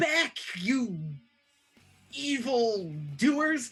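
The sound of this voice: Music plays behind a man doing a put-on character voice at an extremely high pitch with very wide pitch swings.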